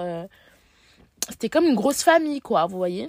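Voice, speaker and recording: Recorded very cleanly against a silent background, the voice sounds close and dry, without any echo. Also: woman. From Paris, France. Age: 20s. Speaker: journalism student. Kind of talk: personal monologue. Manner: hesitant.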